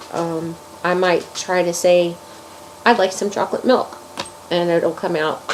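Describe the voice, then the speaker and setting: Noticeable background noise is present. The words come at a very slow pace. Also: woman. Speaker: crochet video maker. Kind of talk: casual vlog. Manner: halting, many fillers.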